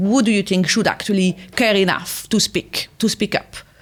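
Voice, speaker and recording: Recorded very cleanly over a silent background, a woman speaks with a French accent. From France. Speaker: podcast host. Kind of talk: interview.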